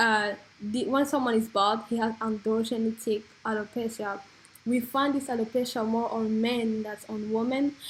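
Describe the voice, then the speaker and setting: This woman talks at a moderate pace with a French accent, her fairly high voice somewhat breathy and her intonation monotone and flat. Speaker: beauty and hair vlogger. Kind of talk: informal explainer. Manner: halting.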